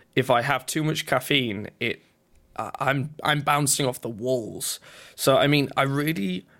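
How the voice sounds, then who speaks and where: A man talks with a Yorkshire accent at a medium pitch and a fairly slow pace. His pitch varies in an ordinary way. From northern England, North Yorkshire. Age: 20s. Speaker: twitch streamer and drummer. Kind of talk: casual interview chat. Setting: remote call.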